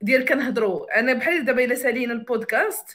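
A woman speaks in a high voice with ordinary pitch variation. Her pace is fairly quick. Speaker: podcaster and card game creator. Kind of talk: casual chat. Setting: livestream. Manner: code-switching Darija and English.

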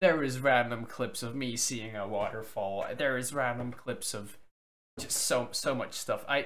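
A man talks at a fairly slow pace. His tone is fairly bright. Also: medium pitch for a man, ordinary pitch variation.

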